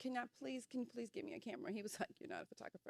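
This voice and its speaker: Recorded with a dry, close sound and no echo, a woman talks at a high pitch. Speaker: photographer, business owner. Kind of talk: interview conversation.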